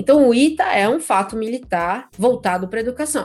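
A woman speaks with lively intonation. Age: 30s. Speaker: podcast host. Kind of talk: casual chat.

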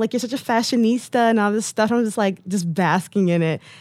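A woman with an American accent speaks at a very fast pace in an animated tone. Her pitch is fairly high and her intonation lively. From Detroit, US Midwest. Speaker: model and blogger. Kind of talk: casual interview chat.

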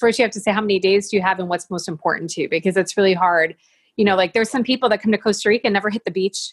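A woman with a Great Lakes accent speaks very fast at medium pitch, with fairly even intonation. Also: dry, close sound with no echo. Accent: American, Great Lakes. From US, Buffalo, New York. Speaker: real estate business owner. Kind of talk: interview.

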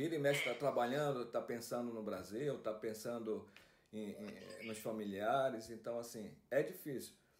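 Audible room echo surrounds the voice. A man talks at a moderate pace, with ordinary pitch variation. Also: medium pitch for a man. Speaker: podcast host. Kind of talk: casual chat. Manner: halting.

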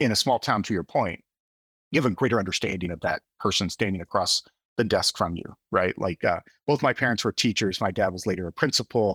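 A man with an unremarkable speaking voice talks at a fairly low pitch with ordinary pitch variation, the sound dry and close with no echo. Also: fairly quick pace. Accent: American. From US South (southern Missouri). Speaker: tech company CEO. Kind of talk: interview.

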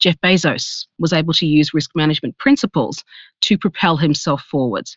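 The speaker has an Australian accent and keeps a moderate pace. The background is quiet. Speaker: risk management executive. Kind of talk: interview.

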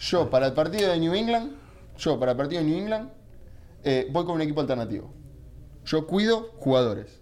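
With an Argentine accent and a fairly high pitch, a man speaks at a fairly quick pace through very wide pitch swings and long, frequent pauses, with audible room echo around him. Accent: Argentine (Rioplatense) Spanish. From Argentina. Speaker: football pundit. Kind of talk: casual chat.

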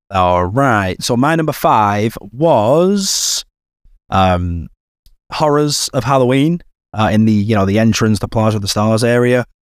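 A man talks in a normal speaking voice at a fairly slow pace with very even loudness. The recording is very clean, with a silent background. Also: medium pitch for a man, lively intonation. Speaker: podcast co-host.

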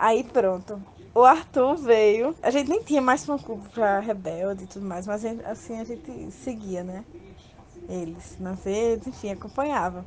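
A woman's fairly high, lively voice at a moderate pace, a plain, everyday voice. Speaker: interviewed fan. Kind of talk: personal storytelling.

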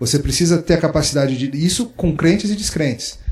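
This man talks at a moderate pace in a high pitch, his intonation lively. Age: 40s. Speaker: pastor and author. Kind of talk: interview conversation. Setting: book fair recording.

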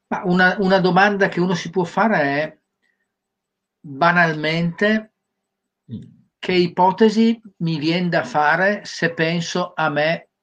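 A man speaks at a very slow pace in a high voice with ordinary pitch variation, leaving long, frequent pauses. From Sardinia, Cagliari. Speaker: career trainer. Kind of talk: interview.

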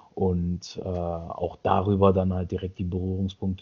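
At a fairly slow pace, the clip features an unremarkable speaking voice. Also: man. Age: 30s. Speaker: podcast co-host. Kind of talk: casual chat.

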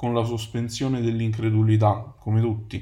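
A man is speaking. Audible room echo is present. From Naples, Italy. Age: 30s. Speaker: podcast host, advertising copywriter. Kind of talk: solo podcast monologue.

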